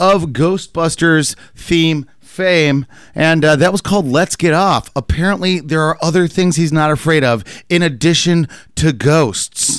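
A man with a plain, everyday voice talks at a fairly slow pace, his pitch fairly high with ordinary variation. The recording is very clean, with a silent background. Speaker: radio host. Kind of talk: casual radio banter. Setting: radio studio.

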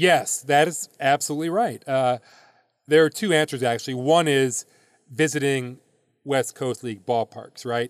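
A man with an American accent and a normal speaking voice talks at a moderate pace in a fairly high voice with ordinary pitch variation, captured in a very clean recording with a silent background and a dry, close sound with no echo. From US Midwest. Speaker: baseball league commissioner. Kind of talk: interview.

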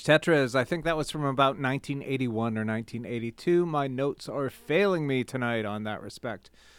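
Using a normal speaking voice, a man talks at a fairly slow pace in a medium pitch. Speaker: radio host. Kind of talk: radio show host announcing tracks between records. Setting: radio studio. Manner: relaxed, conversational, informative; clear, measured station-announcer delivery.

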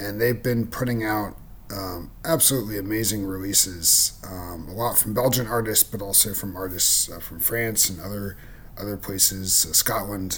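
Here a man speaks at a fairly low pitch in a relaxed tone. His intonation stays fairly even. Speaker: radio host. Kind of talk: radio DJ patter between tracks. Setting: radio station broadcast. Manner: relaxed, unhurried; halting, filler-heavy (um, uh).

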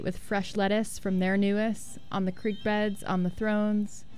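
Against music in the background, a woman speaks at medium pitch and a moderate pace in a monotone, flat intonation. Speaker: radio DJ. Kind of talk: radio dj patter. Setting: radio studio. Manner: casual, conversational; relaxed, laid-back.

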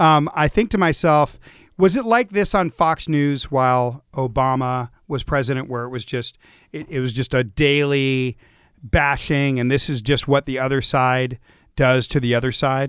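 At a moderate pace and with ordinary pitch variation, an ordinary speaking voice comes through with an American accent in a very clean recording over a silent background. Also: man, fairly high pitch for a man. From Los Angeles, US West Coast. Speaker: radio talk show host. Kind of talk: casual panel discussion. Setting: studio.

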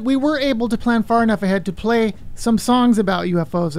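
Speaking with lively intonation at a moderate pace, a woman has a plain, everyday voice. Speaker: radio host. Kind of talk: radio DJ patter. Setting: radio studio, live broadcast. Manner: chatty, easygoing.

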